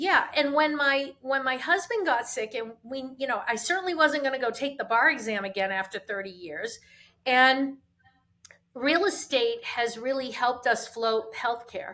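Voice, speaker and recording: At a moderate pace, a woman uses a raised, projected voice that is high-pitched, bright and sharp, with lively intonation. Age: 60s. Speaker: real estate agent. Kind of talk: casual chat.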